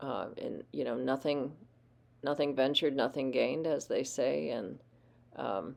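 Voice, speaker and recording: At a moderate pace, a woman with a very deep, low voice speaks in a relaxed, dark, mellow tone with vocal fry. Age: 60s. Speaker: watercolor painter. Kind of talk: painting tutorial with narration. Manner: relaxed, with many fillers and repetitions.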